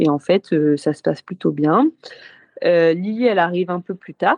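This woman has a fairly low pitch, a normal speaking voice, and ordinary pitch variation. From northern France, Lille. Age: 30s. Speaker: Olympic sailor. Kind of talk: casual interview.

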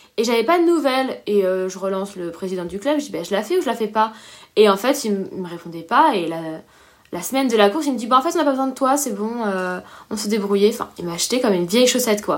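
The pace is very fast. Intonation is lively throughout. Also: woman, fairly high pitch for a woman. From La Réunion. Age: 20s. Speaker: professional triathlete. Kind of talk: interview.

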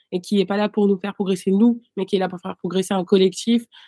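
A woman talks at a medium pitch. The sound is dry and close with no echo, very cleanly recorded over a silent background. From Paris. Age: 20s. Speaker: fencer. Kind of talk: interview. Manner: hesitant.

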